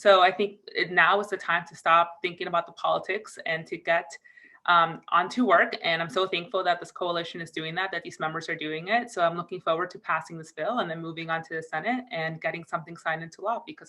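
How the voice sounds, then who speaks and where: A woman with an American accent at a very fast pace, hardly any pauses, fairly even intonation and big swings in loudness. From US Northeast, Connecticut. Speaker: DACA recipient advocate. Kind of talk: virtual press call remarks. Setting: video call.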